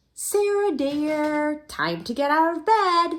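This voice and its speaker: In a squeaky put-on character voice, a woman talks at a very slow pace with high pitch. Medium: read story. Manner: warm, coaxing.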